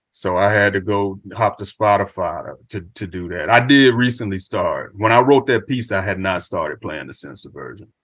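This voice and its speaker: A man at a moderate pace with hardly any pauses, fairly low pitch, ordinary pitch variation and an unremarkable speaking voice, over a quiet background. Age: 40s. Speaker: hip hop journalist. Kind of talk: casual chat.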